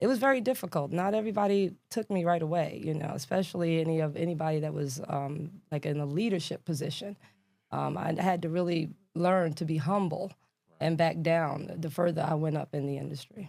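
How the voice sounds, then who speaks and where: With a New York accent, a woman talks at a fairly quick pace in a fairly low pitch, her tone dark and mellow and her pitch varying in an ordinary way. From New York City (Brooklyn and Queens). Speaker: government contracting expert. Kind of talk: podcast interview. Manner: casual, with many fillers.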